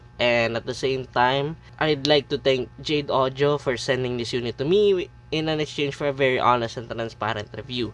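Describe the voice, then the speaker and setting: A man at a medium pitch and moderate pace, ordinary pitch variation, music in the background. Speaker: audio gear reviewer. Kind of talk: product review. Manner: halting, with fillers.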